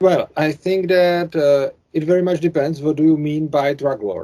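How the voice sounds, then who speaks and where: In a Czech accent, a man speaks at a fairly slow pace, his tone dark and mellow, his pitch fairly high with ordinary variation. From Czech Republic. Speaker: YouTuber, anarcho-capitalist commentator. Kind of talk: interview conversation. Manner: halting, hesitant English.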